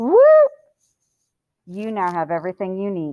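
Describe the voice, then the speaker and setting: A woman is speaking. Her tone is animated. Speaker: high school math teacher. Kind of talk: lecture.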